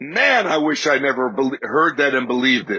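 This man's tone is bright and sharp, and he keeps to a moderate pace. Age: 60s. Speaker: faith podcast host. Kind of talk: faith talk monologue.

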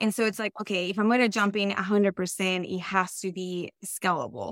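A woman's medium-pitched voice with a Colombian accent, fairly even intonation and a moderate pace. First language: Spanish. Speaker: real estate investor. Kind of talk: podcast interview.

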